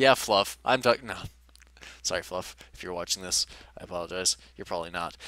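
A man speaks at a fairly quick pace in a very deep, low voice with a bright, sharp tone and ordinary pitch variation. His loudness swings widely, long pauses come often, and the sound is dry with no echo. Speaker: gaming YouTuber. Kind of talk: personal vlog update. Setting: face cam video. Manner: halting; low-energy. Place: home room. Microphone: headset.

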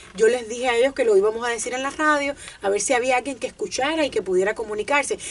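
At a very fast pace, a woman talks in a high pitch. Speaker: radio co-host. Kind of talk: radio show call-in guest conversation. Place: studio.

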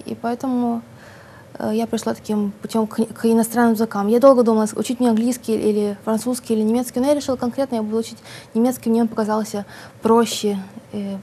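A woman's fairly high, somewhat breathy voice, dark and mellow in tone, flat and monotone at a fairly quick pace, with light background noise. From Odesa, Ukraine. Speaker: writer. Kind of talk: interview. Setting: studio. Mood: relaxed, smiling. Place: studio. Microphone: lapel.

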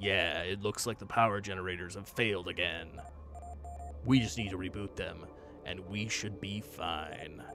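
A man speaks in a put-on character voice at a very deep, low pitch. His pace is moderate, and background noise is clearly audible. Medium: game stream. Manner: calm, practical.

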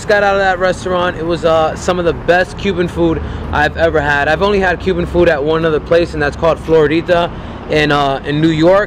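The speaker goes at a fairly quick pace with hardly any pauses, fairly even intonation and very even loudness, over noticeable background noise. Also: man. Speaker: vlogger. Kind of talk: casual vlog chat. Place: street. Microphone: phone near.

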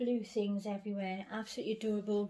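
In a British accent, a woman talks at a moderate pace with a dark, mellow tone. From England. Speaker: doll collector vlogger. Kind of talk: casual chat. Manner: hesitant, filler-heavy. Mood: warm, doting. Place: home room. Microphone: phone near.

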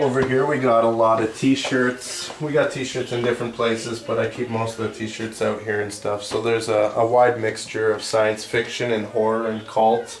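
A man's monotone, flat intonation amid light background noise and audible room echo. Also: moderate pace, hardly any pauses. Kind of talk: interview answer, shop tour. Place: shop. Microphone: camera far.

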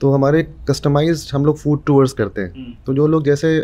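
Here a man speaks at a moderate pace. His tone is dark and mellow. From Bihar, India (Muzaffarpur); Bihar, India. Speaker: food storyteller, food tour founder; food storyteller. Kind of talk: casual interview. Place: studio. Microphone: studio mic.

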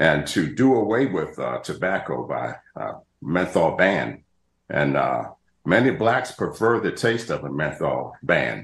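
A man talks at a fairly slow pace, audible room echo around his voice. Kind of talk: interview answer. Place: home room. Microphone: video call.

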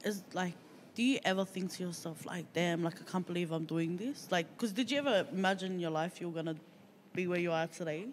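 A woman's fairly low voice in an Australian accent, very fast, with ordinary pitch variation and light background noise. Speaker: podcast co-host; podcast host. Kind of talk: casual chat. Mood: curious, casual. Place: studio. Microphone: handheld.

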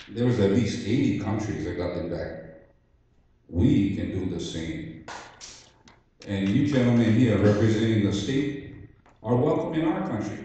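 In a Hawaiian accent, the voice moves at a fairly slow pace with lively intonation and long, frequent pauses, under strong room echo. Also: man, fairly low pitch for a man. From Hawaii, Oahu. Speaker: Hawaiian sovereignty activist. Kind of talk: public testimony. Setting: public hearing in school cafeteria. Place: hall.

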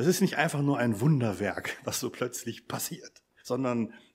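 A man has a plain, everyday voice with lively intonation. The recording is very clean, with a silent background. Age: 50s. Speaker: lecturer at a mission academy, lay preacher. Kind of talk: church seminar talk.

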